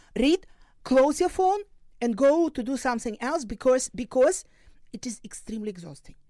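A woman with a Ukrainian accent speaks in a high pitch with a dark, mellow tone and very wide pitch swings. Her pace is moderate and the recording is very clean, with a silent background. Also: long, frequent pauses. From Ukraine, Luhansk region. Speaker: crisis psychologist and professor. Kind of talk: interview. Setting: studio. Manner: halting.

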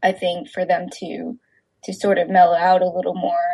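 The voice is somewhat breathy. It has an American accent. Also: woman. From Texas. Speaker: filmmaker. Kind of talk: interview. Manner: hesitant, many fillers.

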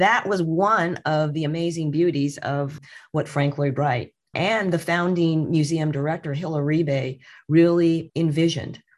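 A woman with a Californian accent speaks fairly slowly in a very deep, low voice with fairly even intonation, on a very clean recording with a silent background. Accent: Californian American English. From Southern California (Redlands). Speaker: museum director. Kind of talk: interview.

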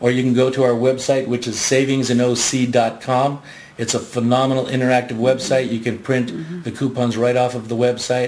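Speaking at a fairly quick pace, a man holds a medium pitch with monotone, flat intonation. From Southern California, Garden Grove. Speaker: magazine sales executive. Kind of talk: radio interview.

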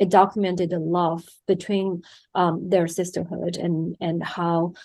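A woman with a Chinese accent speaks at a fairly low pitch and a fairly slow pace. Her intonation is monotone and flat against a quiet background. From China. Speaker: documentary film director. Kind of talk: interview.

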